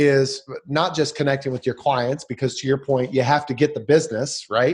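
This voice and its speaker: At a moderate pace, a man with a fairly high, somewhat breathy voice speaks with fairly even intonation. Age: 30s. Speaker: podcast host. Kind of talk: interview. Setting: home office. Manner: halting, many fillers.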